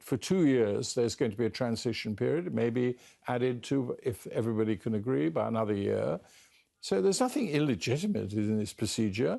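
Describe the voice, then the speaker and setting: In a British accent, a man talks at a fairly quick pace with very even loudness. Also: quiet background. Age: 70s. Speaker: politician. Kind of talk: interview.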